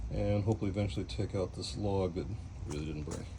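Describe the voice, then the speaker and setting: Relaxed and somewhat breathy, a man with an American accent speaks in a dark, mellow tone with very wide pitch swings. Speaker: cooking channel host. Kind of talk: cooking tutorial. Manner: casual, relaxed.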